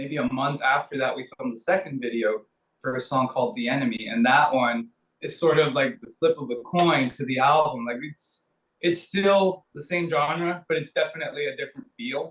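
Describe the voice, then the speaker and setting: This man has an ordinary speaking voice, fairly high in pitch, moving at a moderate pace with ordinary pitch variation and big swings in loudness. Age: 30s. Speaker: rock band member. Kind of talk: casual interview.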